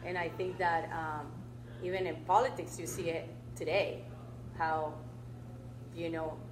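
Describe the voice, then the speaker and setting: A woman with a Colombian accent and fairly low pitch, ordinary pitch variation, a fairly slow pace with long, frequent pauses, and audible room echo. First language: Spanish. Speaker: public utility commissioner. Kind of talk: talk Q&A answer. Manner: animated, repetitive with restarts.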